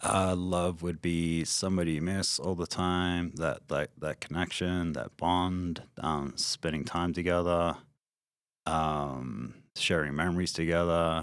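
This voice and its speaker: A man's very deep, low voice with an Australian accent, flat and monotone at a fairly slow pace. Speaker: interview guest. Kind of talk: casual interview. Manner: hesitant, many fillers.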